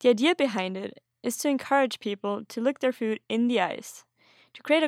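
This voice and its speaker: In a German accent, a woman speaks at a moderate pace with a fairly high pitch and ordinary pitch variation, the sound dry and close with no echo on a very clean recording with a silent background. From Austria. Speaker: podcast host. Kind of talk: scripted narration.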